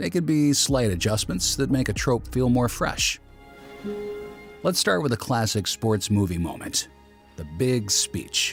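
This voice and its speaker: A man's medium-pitched voice over music in the background, fairly slow with long, frequent pauses, very even in loudness but lively in intonation. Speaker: voice actor. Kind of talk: video essay narration.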